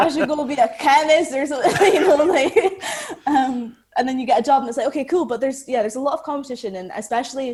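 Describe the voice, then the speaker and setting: A woman with an Aberdeen accent on a very clean recording with a silent background. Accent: Aberdonian Scottish, drops T's. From Scotland, Aberdeen. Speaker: actress. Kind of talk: podcast interview. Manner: casual, many fillers like 'like'.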